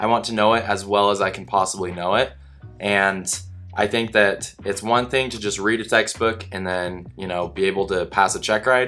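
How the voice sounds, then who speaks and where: Over music in the background, a man talks at a moderate pace with a fairly low pitch and fairly even intonation. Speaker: student pilot and flight instructor. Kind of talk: vlog monologue. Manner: monotone.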